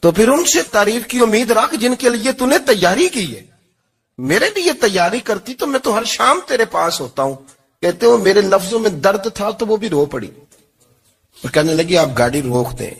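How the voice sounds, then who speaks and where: A man's high voice with very wide swings in pitch. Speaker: Islamic preacher. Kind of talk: religious sermon. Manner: emotional.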